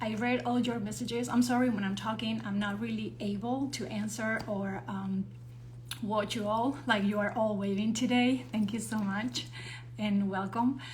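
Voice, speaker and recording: A woman speaks with a non-native accent. Noticeable background noise and audible room echo surround her voice. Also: moderate pace. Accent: non-native English accent, improving. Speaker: actor and show host. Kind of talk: live stream introduction.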